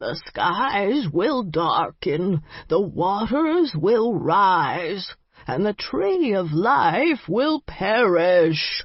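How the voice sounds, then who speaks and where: A man puts on a croaky, shaky character voice at a high pitch, with very wide pitch swings. He speaks at a very slow pace. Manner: dramatic, ominous warning.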